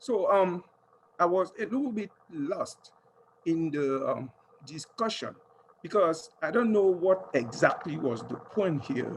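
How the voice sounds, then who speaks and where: With a French accent, a man talks at a fairly slow pace and high pitch, using lively intonation and long, frequent pauses amid noticeable background noise. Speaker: audience member asking a question. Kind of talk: audience question. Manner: halting.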